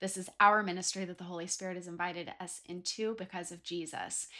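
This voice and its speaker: In a very clean recording with a silent background, a woman speaks at a moderate pace with a medium pitch. Her tone is animated, bright and sharp. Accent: American. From Southern California (Ventura County). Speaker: faith podcast host, author and speaker. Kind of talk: inspirational faith monologue.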